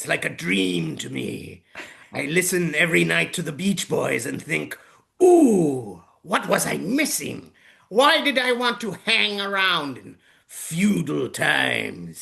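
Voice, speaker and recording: Putting on a character voice, a man talks at a fairly slow pace with big swings in loudness. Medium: solo performance. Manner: theatrical.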